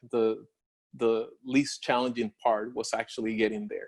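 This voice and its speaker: A man with a strong Spanish accent on a very clean recording against a silent background. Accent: Spanish accent, heavy. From Puerto Rico. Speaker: industry scientist, doctoral alumnus. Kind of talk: career Q&A talk. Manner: halting, many fillers and repeats.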